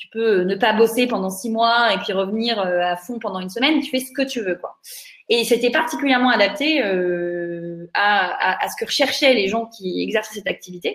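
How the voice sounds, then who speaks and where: Speaking at a moderate pace with ordinary pitch variation, a woman uses a plain, everyday voice. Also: fairly high pitch for a woman. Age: 30s. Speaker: startup founder. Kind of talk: interview.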